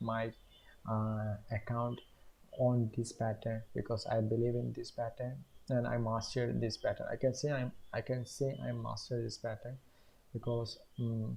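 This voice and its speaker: At a moderate pace, a man speaks at medium pitch with a dark, mellow, somewhat breathy tone and flat, monotone intonation. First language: not English. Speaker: day trader, YouTuber. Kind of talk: trading tutorial. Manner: halting, many fillers.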